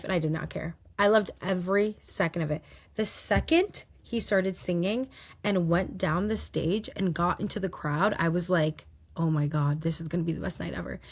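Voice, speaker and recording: A woman puts on a raspy character voice at a fairly low pitch. She speaks at a moderate pace. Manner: excited, enthusiastic.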